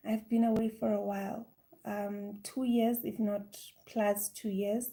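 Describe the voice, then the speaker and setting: Her tone dark and mellow, a woman speaks at a medium pitch in a somewhat breathy voice, going at a fairly slow pace with monotone, flat intonation. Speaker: spiritual healer and content creator. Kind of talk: live stream chat. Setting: live stream at home. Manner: halting. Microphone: microphone giving problems.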